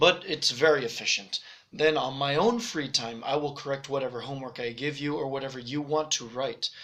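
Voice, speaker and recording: With ordinary pitch variation, a man whose voice is fairly high speaks at a fairly quick pace. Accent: American. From Spain and Netherlands, raised internationally. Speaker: language teacher. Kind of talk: self-introduction sales pitch. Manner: casual, relaxed.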